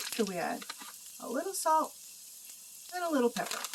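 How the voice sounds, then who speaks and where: A woman's high-pitched voice with very wide pitch swings at a fairly quick pace, over noticeable background noise. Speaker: home cooking vlogger. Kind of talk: cooking tutorial.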